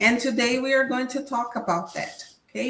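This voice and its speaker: A woman speaks with a Portuguese accent. Noticeable background noise runs behind her. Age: 50s. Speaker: professor. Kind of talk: lecture.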